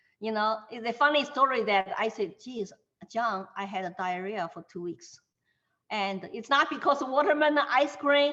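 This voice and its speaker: A woman with a Chinese accent talks at a moderate pace in a high voice. Her tone is bright and sharp, and her intonation is lively. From China, Shanghai. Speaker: Chinese immigrant interviewee. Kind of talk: interview.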